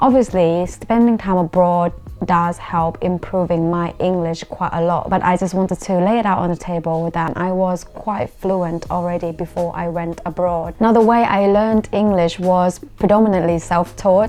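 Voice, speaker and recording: With music playing in the background, a woman speaks at a fairly low pitch and a moderate pace. Her intonation is fairly even, and she hardly pauses. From Thailand. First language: Thai. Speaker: YouTuber. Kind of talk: vlog talk to camera.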